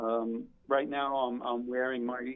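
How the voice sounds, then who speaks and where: Here a man talks at a fairly slow pace. He has an unremarkable speaking voice at a medium pitch. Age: 60s. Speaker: retired firefighter and club owner. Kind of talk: interview. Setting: phone call.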